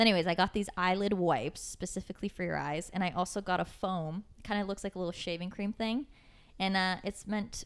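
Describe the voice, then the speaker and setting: Her pitch medium and her intonation fairly even, a woman speaks at a fairly quick pace. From Kitchener-Waterloo, Ontario, Canada. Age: 20s. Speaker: podcast host. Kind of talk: casual chat.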